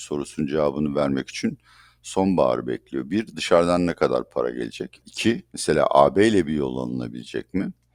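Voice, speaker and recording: The sound is dry and close with no echo as a man with a very deep, low pitch speaks at a fairly quick pace. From Turkey. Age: 60s. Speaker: economist. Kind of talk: interview.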